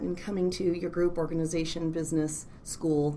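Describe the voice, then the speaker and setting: Over noticeable background noise and audible room echo, a woman speaks at a fairly quick pace. Her pitch is fairly low, and her intonation is monotone and flat. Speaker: clinical psychologist. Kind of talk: casual interview chat. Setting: office.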